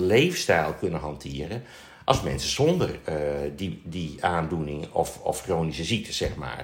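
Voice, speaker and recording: Speaking at a fairly slow pace, a man with a somewhat breathy voice makes very wide pitch swings. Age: 60s. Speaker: nurse. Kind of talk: casual chat. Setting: studio. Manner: halting.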